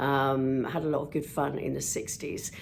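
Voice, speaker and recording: There is audible room echo as a woman with an English accent speaks at a fairly slow pace with a very deep, low pitch. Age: 60s. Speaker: vlogger and TV presenter. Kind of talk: casual vlog monologue. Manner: chatty.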